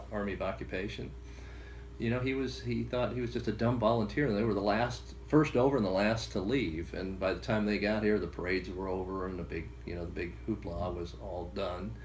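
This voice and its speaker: A man with an American accent, very deep and low in pitch, with very wide pitch swings, a fairly quick pace, and audible room echo. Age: 60s. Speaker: grandson of a war veteran. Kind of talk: interview storytelling. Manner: halting with many fillers.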